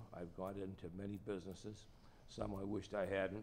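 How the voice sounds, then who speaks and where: A man speaks with a Boston accent at a very deep, low pitch. His intonation is flat and monotone. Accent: Boston-area New England. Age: 80s+. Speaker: racing and business executive. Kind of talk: testimony. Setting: public hearing before a commission. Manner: halting.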